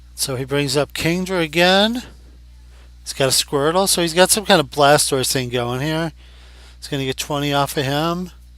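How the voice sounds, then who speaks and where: A man with a normal speaking voice and fairly high pitch talks at a moderate pace with ordinary pitch variation, on a very clean recording with a silent background. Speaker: Pokémon card game commentator. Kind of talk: casual gameplay commentary. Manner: conversational, thinking aloud.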